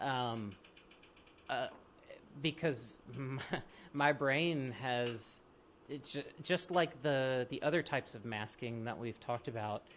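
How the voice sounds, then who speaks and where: A man at a medium pitch with ordinary pitch variation, speaking at a very slow pace with long, frequent pauses. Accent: American. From US South, central Mississippi. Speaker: podcast host. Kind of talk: podcast conversation. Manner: many fillers and repetitions.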